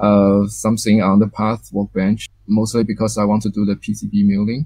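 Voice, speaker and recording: A man talks in a dark, mellow tone, with a dry sound that carries no echo. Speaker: guest. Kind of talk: presentation during interview.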